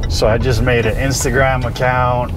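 The man talks at a moderate pace. Noticeable background noise runs underneath. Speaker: guest. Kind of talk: casual storytelling interview answer. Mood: relaxed, laughing. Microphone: lapel.

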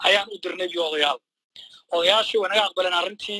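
Talking very fast, a man's voice comes through over a quiet backdrop. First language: Somali (speaking Arabic). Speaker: caller. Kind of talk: call-in question. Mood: serious, firm. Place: hall. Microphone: handheld.

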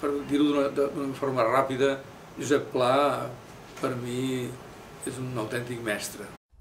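A man at a very slow pace, monotone, flat intonation, long, frequent pauses and light background noise. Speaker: marathon runner and writer. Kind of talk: interview answer.

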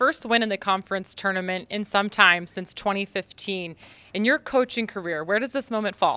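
Speaking at a moderate pace with ordinary pitch variation, a woman has a clear, smooth tone that is also bright and sharp. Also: medium pitch for a woman.

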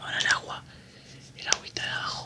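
Someone whispers at a fairly quick pace. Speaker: ASMR creator. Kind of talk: ASMR whispered chat while drawing. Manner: whispered. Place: home room.

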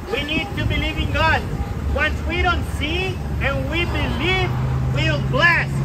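A man's fairly slow delivery sits beneath loud background noise. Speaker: street preacher. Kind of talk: sermon. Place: street. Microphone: headset.

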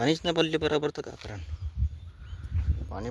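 The man's pace is moderate. Ordinary variation runs through his pitch.

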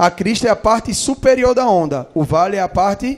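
The intonation is lively. The background is quiet. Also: man. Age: 20s. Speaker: physics teacher. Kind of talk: lecture. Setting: auditorium. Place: hall.

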